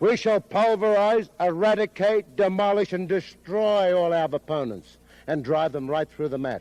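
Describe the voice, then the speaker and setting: Against a quiet background, a man with a high voice speaks at a moderate pace with an Australian accent. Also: ordinary pitch variation. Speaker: pro wrestling manager. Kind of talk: wrestling promo. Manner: bombastic, verbose.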